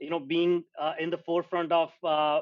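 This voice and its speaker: With a non-native accent, this man talks in a fairly high voice with monotone, flat intonation. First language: not English. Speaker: entrepreneur. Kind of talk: interview conversation. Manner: hesitant, many fillers.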